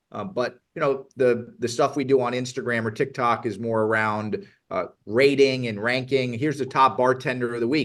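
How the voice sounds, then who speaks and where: A man with an ordinary speaking voice and an American accent, medium in pitch, at a moderate pace with ordinary pitch variation. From South Florida. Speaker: tech company founder. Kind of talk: interview.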